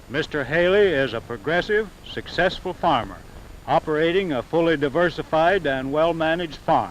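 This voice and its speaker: A man talks at a moderate pace with a fairly high pitch and ordinary pitch variation. Noticeable background noise is present. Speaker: announcer. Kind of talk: 1930s promotional film narration.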